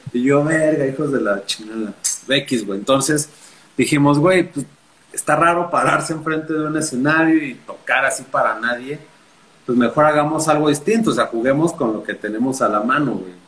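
This man has a normal speaking voice, pitched fairly high, moving at a moderate pace with ordinary pitch variation. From Mexico City. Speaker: journalist and punk musician. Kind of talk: casual chat.

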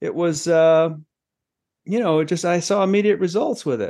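A man with an American accent speaks at a high pitch in a dark, mellow tone, with ordinary pitch variation. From Maine, US. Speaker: business executive and mindfulness author. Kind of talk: interview conversation.

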